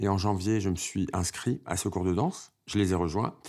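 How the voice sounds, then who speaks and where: Recorded very cleanly against a silent background, a man speaks in a plain, everyday voice at fairly low pitch and a fairly slow pace. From Paris suburbs and Oise, France, Algerian family. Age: 50s. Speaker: dancer. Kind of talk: personal testimony.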